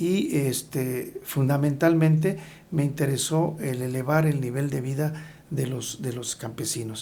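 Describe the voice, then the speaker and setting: A man's fairly high voice at a fairly slow pace, with fairly even intonation, noticeable background noise and audible room echo. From Hidalgo, Mexico. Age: 60s. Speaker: agrarian government official. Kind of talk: interview.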